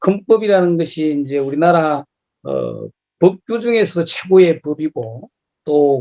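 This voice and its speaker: The voice has a dark, mellow tone and ordinary pitch variation, delivered at a fairly slow pace in a dry, close sound with no echo. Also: man. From South Korea, Gyeongnam. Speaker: lecturer, local politician. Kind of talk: lecture. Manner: hesitant, many filler sounds.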